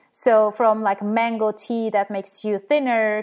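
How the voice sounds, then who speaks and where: In a Turkish accent, a woman with medium pitch speaks at a moderate pace. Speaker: skeptical blogger and science educator. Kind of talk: interview. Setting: remote call.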